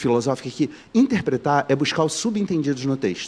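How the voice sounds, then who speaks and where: Fairly quick speech comes from a man with a fairly high pitch. His pitch variation is ordinary. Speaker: teacher. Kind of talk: lecture. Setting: stage with audience, livestreamed. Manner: fast; animated.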